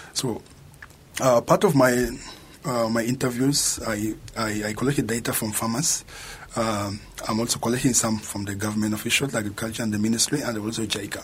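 A man talks at a fairly quick pace with fairly even intonation. There is noticeable background noise. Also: medium pitch for a man. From South Sudan. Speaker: master's student. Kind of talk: radio interview.

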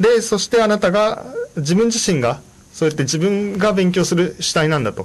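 Noticeable background noise sits under a man speaking in a high pitch with ordinary pitch variation. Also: moderate pace. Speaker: radio host and Japanese-language support volunteer. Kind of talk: bilingual informational radio talk. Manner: many fillers, hesitant.

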